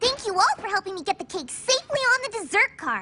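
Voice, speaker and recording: This is a cartoonish character voice that sounds squeaky. It races along at a very fast pace. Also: female-sounding voice, extremely high pitch for a woman. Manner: fast, excitable.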